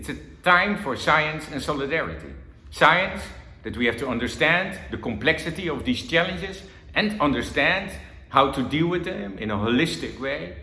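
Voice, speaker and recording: A man with a Dutch accent speaks at a moderate pace with lively intonation. Room echo is audible. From Netherlands. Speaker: government envoy on water. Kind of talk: conference talk.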